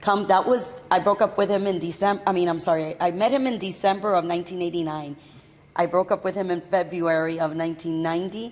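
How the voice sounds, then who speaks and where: With an American accent, a woman uses an ordinary speaking voice, fairly low in pitch, talking at a fairly quick pace with ordinary pitch variation. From Miami, Florida (Hialeah). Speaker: entrepreneur. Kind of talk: casual interview chat.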